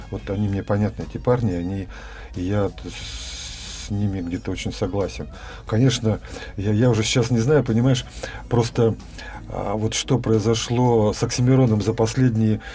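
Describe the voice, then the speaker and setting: A man's fairly low voice at a moderate pace, with fairly even intonation, long, frequent pauses and noticeable background noise. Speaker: dance student and farmer, former businessman. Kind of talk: casual interview. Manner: hesitant with fillers.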